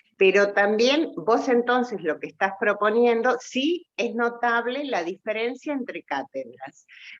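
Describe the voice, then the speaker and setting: A woman with a normal speaking voice talks at a fairly slow pace, with hardly any pauses. Her pitch is fairly high and her intonation lively. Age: 60s. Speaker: university student. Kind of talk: class discussion.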